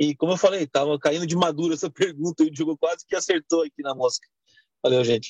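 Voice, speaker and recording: Speaking very fast, a man with a fairly high pitch keeps his intonation fairly even. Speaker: audience participant. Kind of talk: question in a live video chat. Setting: video call, camera off.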